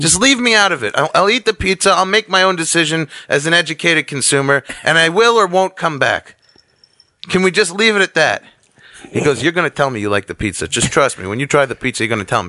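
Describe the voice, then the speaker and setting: Speaking at a very fast pace with a New York accent, a man's high, bright, sharp voice swings very widely in pitch. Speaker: comedian. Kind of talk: casual chat.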